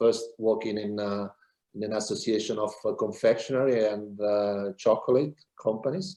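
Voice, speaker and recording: At a moderate pace, a man speaks with a fairly low pitch, ordinary pitch variation and a dark, mellow tone. The background is quiet. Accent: Italian. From Italy. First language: Italian. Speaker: business consultant. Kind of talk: interview. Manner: halting.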